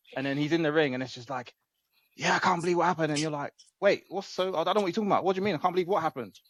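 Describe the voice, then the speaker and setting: A man with a high pitch, an English accent, ordinary pitch variation and a very fast pace. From England. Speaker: wrestling podcast co-host. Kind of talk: casual chat.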